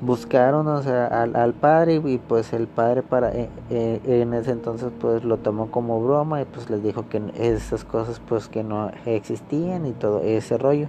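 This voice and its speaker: A man at medium pitch and a fairly slow pace, hardly any pauses, with noticeable background noise. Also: ordinary pitch variation. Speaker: podcaster. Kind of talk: storytelling. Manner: halting; casual.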